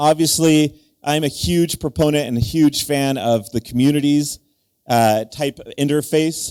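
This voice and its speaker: A man uses a plain, everyday voice, fairly high in pitch with ordinary variation, at a moderate pace. The sound is dry and close with no echo. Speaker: conference speaker presenting a project. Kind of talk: conference talk.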